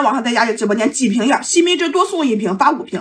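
A woman at a very fast pace with very wide pitch swings. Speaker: livestream host selling while eating. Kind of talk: live-stream sales pitch while eating. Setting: live stream. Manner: fast, hard-sell haggling patter, shouting prices and stock urgency; chatty, playful, animated banter with viewers. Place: home room. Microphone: phone near.

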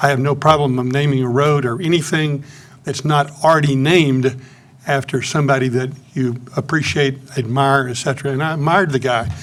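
A man talks at a fairly quick pace with fairly even intonation. His pitch is fairly high, and there is audible room echo. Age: 80s+. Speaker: public commenter. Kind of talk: public comment. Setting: city council meeting.

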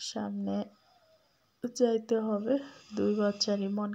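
The woman's tone is dark and mellow. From Bangladesh, Tangail district; Bangladesh. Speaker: vlogger and mother; vlogger. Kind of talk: cooking vlog, casual chat. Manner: informal, unpolished. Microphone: phone near.

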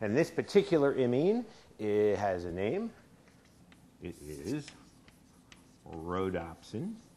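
With an American accent, a man speaks at a very slow pace in a fairly low, dark, mellow voice, his pitch swinging very widely between long, frequent pauses. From Philadelphia area, US. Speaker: chemistry professor. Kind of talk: university lecture. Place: hall. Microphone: lapel.

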